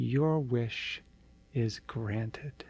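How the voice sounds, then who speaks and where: A man's put-on character voice at a medium pitch. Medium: read story.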